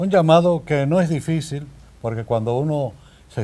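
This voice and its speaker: With a Dominican accent, a man speaks at a moderate pace in a dark, mellow tone with lively intonation. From Dominican Republic, Salcedo; Dominican Republic. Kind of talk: interview; interview answer. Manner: halting. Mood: warm, content, grateful. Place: studio. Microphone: lapel.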